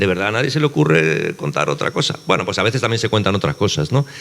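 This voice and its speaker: Pitch swings very widely in this man's voice. He speaks at a very fast pace. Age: 60s. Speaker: novelist. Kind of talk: panel conversation.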